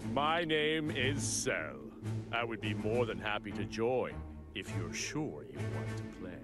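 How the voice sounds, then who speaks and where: Over loud music in the background, a man uses a put-on character voice at a medium pitch and a fairly slow pace. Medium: machinima. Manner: smug, analytical.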